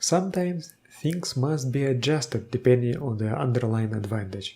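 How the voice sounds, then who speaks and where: A man talks at a moderate pace with lively intonation. His voice is medium in pitch and somewhat breathy. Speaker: tabletop game video host. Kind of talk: tutorial explanation to camera.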